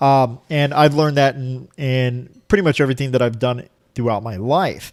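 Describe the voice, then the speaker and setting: A man keeps a moderate pace and ordinary pitch variation on a very clean recording with a silent background. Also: medium pitch for a man. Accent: Florida. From Florida, US (Cuban family). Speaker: language learner, video blogger. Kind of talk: casual vlog monologue. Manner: many fillers and repetitions.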